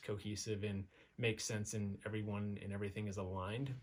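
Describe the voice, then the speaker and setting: A man with an American accent talks at a very fast pace in a fairly low pitch. His voice is somewhat breathy and his intonation monotone and flat. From Nevada, US (North Las Vegas). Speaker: entrepreneur, digital marketer. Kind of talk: casual monologue. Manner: hesitant, many fillers.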